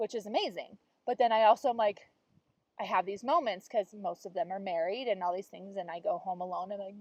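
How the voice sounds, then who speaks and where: Here a woman talks at a fairly quick pace. Her pitch sits in the middle range. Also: ordinary pitch variation, dry, close sound with no echo. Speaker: podcast co-host. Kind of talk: casual chat. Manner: loud.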